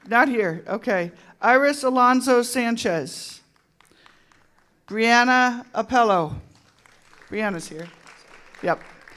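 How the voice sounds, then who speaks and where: Over crowd noise in the background, the speaker moves at a very slow pace with long, frequent pauses. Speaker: high school principal. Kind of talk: public ceremony announcements. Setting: school board meeting with audience.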